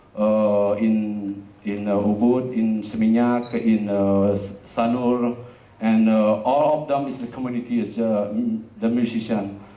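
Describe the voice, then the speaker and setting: Audible room echo surrounds a man talking fairly slowly at a medium pitch in a monotone, flat manner. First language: Indonesian. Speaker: jazz festival director and community space founder. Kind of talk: presentation to live audience. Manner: halting, many fillers.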